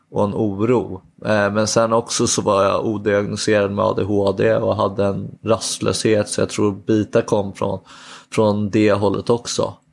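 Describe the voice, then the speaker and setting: Fairly slow, monotone delivery with flat intonation and very even loudness. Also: man, fairly low pitch for a man. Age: 20s. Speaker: public speaker and youth worker. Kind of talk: personal testimony interview. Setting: at home.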